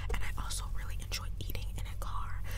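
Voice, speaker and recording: Over loud background noise, a woman talks at a moderate pace in a dry setting without echo. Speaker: ASMR creator. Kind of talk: casual vlog chat. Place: car. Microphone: lapel.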